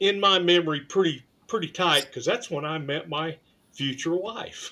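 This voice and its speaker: A man with an American accent speaks at a fairly slow pace in a high voice, with ordinary pitch variation. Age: 60s. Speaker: show participant. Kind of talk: casual chat.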